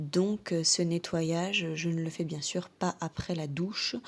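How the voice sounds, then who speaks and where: The delivery is very slow. Intonation remains fairly even throughout. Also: woman. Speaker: horse care coach. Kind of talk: product tutorial to camera.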